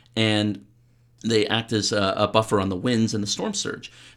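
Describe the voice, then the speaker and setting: A man with a Canadian accent speaks at a moderate pace in a fairly low pitch. The recording is very clean, with a silent background. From Canada. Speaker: PhD candidate in political studies. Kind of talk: radio interview. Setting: radio studio. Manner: halting, many repetitions.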